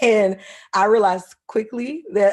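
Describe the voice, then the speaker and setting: A woman speaks with a South Carolina accent. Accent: Southern US (South Carolina). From US South, South Carolina. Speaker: marine ecologist. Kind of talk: lecture. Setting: video call.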